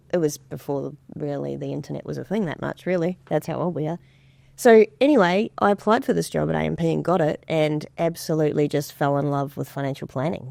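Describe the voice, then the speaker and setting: Speaking at a fairly quick pace, a woman has a very deep, low voice and a slight New Zealand accent. The recording is very clean and dry, close with no echo and a silent background. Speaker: financial advisor. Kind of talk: podcast interview.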